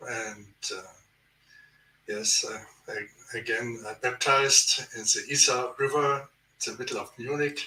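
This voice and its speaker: A man with a German accent speaks at a fairly slow pace, his loudness swinging widely. He leaves long, frequent pauses. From Germany. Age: 70s. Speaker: author and researcher. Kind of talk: interview. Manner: halting.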